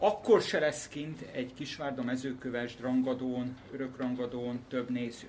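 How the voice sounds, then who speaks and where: There's audible room echo as a man speaks at a very slow pace and medium pitch with ordinary pitch variation. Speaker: politician and football commentator. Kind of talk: casual chat.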